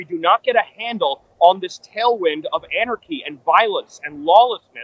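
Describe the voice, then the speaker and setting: Speaking in a New York accent, a man talks at a fairly quick pace with a high pitch and lively intonation. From New York City. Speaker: political commentator. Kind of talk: live political analysis. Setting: outside a ballroom at an event.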